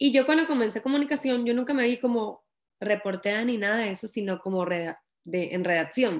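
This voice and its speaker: In a plain, everyday voice, the speaker moves at a fairly quick pace with lively intonation. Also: woman, fairly high pitch for a woman. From Venezuela, Valera (Trujillo state). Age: 20s. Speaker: young author. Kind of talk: interview.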